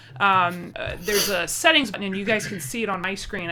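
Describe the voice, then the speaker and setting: With an American accent, a woman talks at a fairly quick pace, and room echo can be heard. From United States. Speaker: game master, streamer. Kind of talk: casual tabletop game stream chat. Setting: live stream, online voice call.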